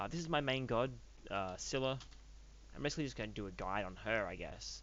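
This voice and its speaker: Speaking quietly and very fast with an Australian accent, a man with fairly low pitch and lively intonation leaves long, frequent pauses amid audible room echo. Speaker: gaming youtuber. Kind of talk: casual gameplay commentary.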